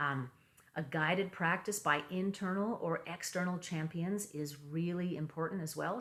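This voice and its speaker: Her voice is fairly low in pitch, and the woman's intonation stays fairly even. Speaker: meditation teacher. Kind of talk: talk with slides. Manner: fast; hesitant, many fillers.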